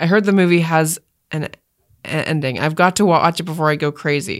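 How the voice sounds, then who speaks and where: In a very clean recording with a silent background, a woman with an ordinary speaking voice talks at a fairly quick pace, her fairly low pitch showing ordinary variation. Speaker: podcast co-host. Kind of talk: casual chat.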